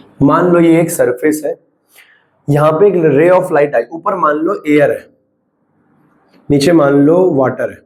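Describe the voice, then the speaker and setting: Pausing long and often, a man speaks at a fairly slow pace in a high pitch. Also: fairly even intonation. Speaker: physics teacher. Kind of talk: lecture. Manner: not speaking loudly.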